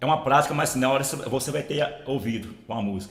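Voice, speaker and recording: Over noticeable background noise and audible room echo, a man speaks at a medium pitch and a fairly quick pace. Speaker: audio tutorial youtuber. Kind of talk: tutorial. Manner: casual, repetitive filler.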